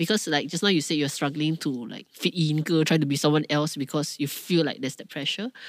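In a Malaysian accent, the speaker goes on with hardly any pauses on a very clean recording with a silent background. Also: fairly quick pace. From Kuala Lumpur, Malaysia. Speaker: podcast co-host. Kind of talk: casual chat, Manglish. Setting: studio.

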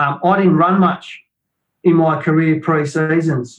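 A man talks in an Australian accent, his voice somewhat breathy. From Australia, Shepparton, Victoria. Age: 50s. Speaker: retired football player. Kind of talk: casual chat.

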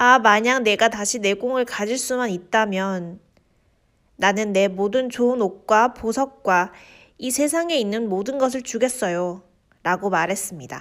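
A woman's fairly high pitch in a normal speaking voice, with ordinary pitch variation and a fairly quick pace, on a very clean recording with a silent background. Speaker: podcast host reading fairy tales. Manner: steady, measured storyteller pacing.

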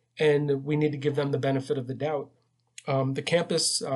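Somewhat breathy, this man's voice sits at a fairly high pitch. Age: 40s. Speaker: nurse and nursing instructor. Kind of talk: interview answers. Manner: halting.

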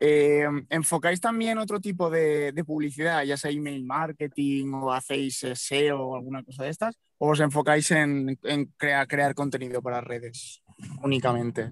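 A man talks in a normal speaking voice, fairly high for a man, with ordinary pitch variation. He goes at a fairly slow pace, and the sound is dry and close with no echo. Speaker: podcast co-host. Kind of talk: interview. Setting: in a car.

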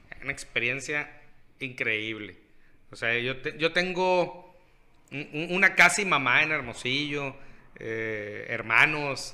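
Speaking very slowly, a man uses a fairly high pitch and lively intonation. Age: 30s. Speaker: podcast co-host. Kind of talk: casual chat.

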